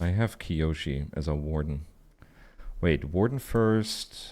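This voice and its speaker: A man with a German accent on a very clean recording with a silent background. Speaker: video game streamer. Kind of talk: live gameplay commentary. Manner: animated.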